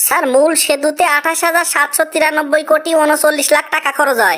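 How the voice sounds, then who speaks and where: In a cartoonish character voice, the speaker goes at a moderate pace with a high pitch. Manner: polite, respectful, addresses interviewer as sir.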